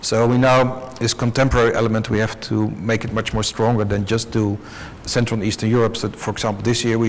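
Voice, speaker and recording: A man at medium pitch with monotone, flat intonation, a fairly quick pace, and noticeable background noise. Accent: Dutch. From Netherlands. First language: Dutch. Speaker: art fair director. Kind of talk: panel discussion. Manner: halting.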